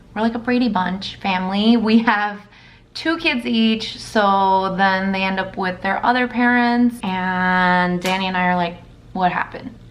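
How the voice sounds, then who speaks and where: Audible room echo fills the space around a woman. She talks at a fairly slow pace and medium pitch, with ordinary pitch variation. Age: 30s. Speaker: beauty vlogger. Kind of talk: makeup tutorial. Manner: casual, chatty.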